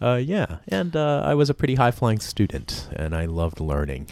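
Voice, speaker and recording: A man with a Southern Californian accent speaks in a fairly low voice with very wide pitch swings. The sound is dry and close, with no echo. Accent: Southern California American. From Los Angeles, US. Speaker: education director, podcast guest. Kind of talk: casual radio interview. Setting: radio studio.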